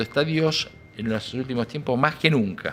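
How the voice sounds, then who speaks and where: A man talks with lively intonation at a moderate pace, with noticeable background noise around him. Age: 70s. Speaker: music industry businessman. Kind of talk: interview. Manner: hesitant, many fillers.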